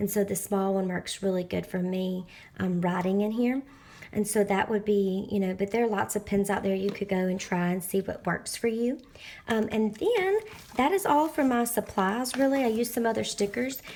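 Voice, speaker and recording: In a Southern US accent, a woman talks at a medium pitch with ordinary pitch variation. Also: moderate pace. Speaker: planner and crafting YouTuber. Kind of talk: tutorial. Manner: casual with frequent filler words.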